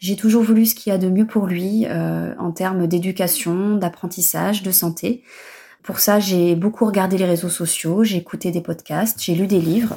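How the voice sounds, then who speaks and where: Her medium-pitched voice is somewhat breathy, with a dark, mellow tone and fairly even intonation. The recording is very clean, with a silent background, as this woman speaks. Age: 30s. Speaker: mother giving testimony. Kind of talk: recorded testimony.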